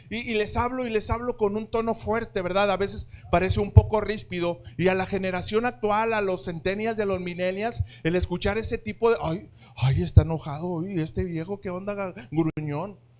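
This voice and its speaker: Male voice, high in pitch, with ordinary pitch variation. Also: moderate pace. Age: 50s. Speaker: pastor. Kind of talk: sermon. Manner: firm, forceful tone.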